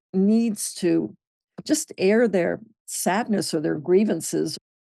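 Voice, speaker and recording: A dark, mellow tone in a dry, close sound with no echo. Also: woman, quiet background. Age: 80s+. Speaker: film producer. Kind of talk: casual chat. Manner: halting.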